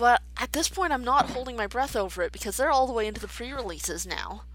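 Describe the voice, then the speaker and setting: A woman speaks quietly. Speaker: gaming video creator. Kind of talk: let's play commentary. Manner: hesitant, filler-heavy.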